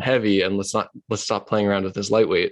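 This man has an unremarkable speaking voice with fairly even intonation. His pitch is fairly low. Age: 20s. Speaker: podcast host. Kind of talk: casual chat.

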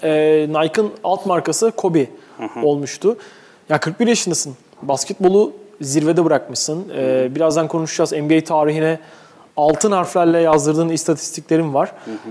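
Over noticeable background noise, a man speaks at a moderate pace with fairly high pitch, ordinary pitch variation and very even loudness. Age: 20s. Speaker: sports podcast host. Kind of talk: casual chat. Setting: studio.

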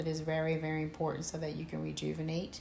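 With a very deep, low pitch and a Philadelphia accent, a woman speaks at a very fast pace in monotone, flat intonation, with audible room echo and noticeable background noise. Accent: Philadelphia-area American. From Camden, New Jersey. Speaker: podcast co-host. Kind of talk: casual chat.

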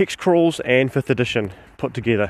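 A fairly slow voice in a New Zealand accent on a very clean recording with a silent background. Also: man. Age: 40s. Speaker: podcast host and tabletop game master. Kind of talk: solo instructional podcast monologue. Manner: halting with frequent fillers.

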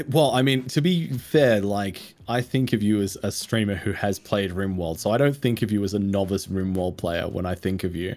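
Speaking at a moderate pace with hardly any pauses, a man with an Australian accent has a fairly low pitch. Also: ordinary pitch variation, very clean recording, silent background. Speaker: content creator, streamer. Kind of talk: casual interview chat.

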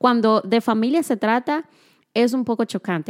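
A woman with an ordinary speaking voice talks at a moderate pace and a fairly high pitch, in a dry, close, very clean recording with a silent background. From Dominican Republic. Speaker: podcast co-host. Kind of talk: casual chat.

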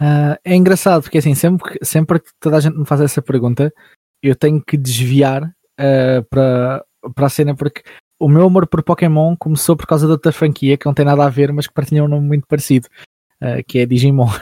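A somewhat breathy man with a European Portuguese accent talks at a fairly quick pace in a fairly high pitch with fairly even intonation. His loudness swings widely in a dry, close sound with no echo. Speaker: voice actor and YouTuber. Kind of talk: casual chat.

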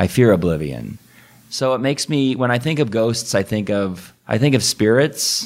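With a plain, everyday voice and lively intonation, a man talks at a moderate pace in a medium pitch. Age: 30s. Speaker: Lutheran pastor. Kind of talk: casual chat.

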